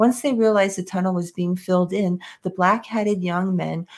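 A woman with a New York accent talks with a fairly even intonation. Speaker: podcast co-host. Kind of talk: casual chat.

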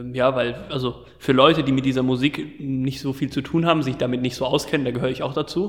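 A man at medium pitch talking at a very fast pace, fairly even in intonation, over noticeable background noise. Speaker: podcast host. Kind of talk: casual interview. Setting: large empty side room at concert venue. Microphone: room echo and open window audible.

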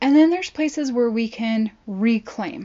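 Here is a normal speaking voice with an American accent, moving at a fairly slow pace with ordinary pitch variation. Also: woman. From Southern California. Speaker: podcast host. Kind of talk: casual monologue.

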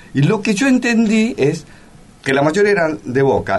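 A man speaks with very wide pitch swings. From Argentina, Buenos Aires (Bajo Flores). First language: Korean (speaking Spanish). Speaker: actor. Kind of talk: interview.

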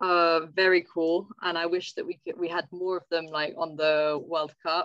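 Speech with an English accent at a fairly slow pace, hardly any pauses, and a dry, close sound with no echo. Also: woman. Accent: English-sounding. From France (Savoie, Alps), English parents. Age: 20s. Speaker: ski mountaineering athlete. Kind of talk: podcast interview.

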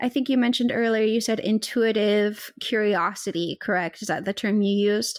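An ordinary speaking voice, a woman with an American accent talks at a fairly quick pace and a fairly high pitch, with fairly even intonation and very even loudness. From US South. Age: 20s. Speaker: podcast host. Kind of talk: casual interview chat.

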